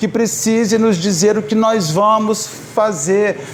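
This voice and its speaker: A man with a high voice speaks with ordinary pitch variation. Audible room echo and noticeable background noise surround him. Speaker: spiritist lecturer. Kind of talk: public lecture. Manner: halting.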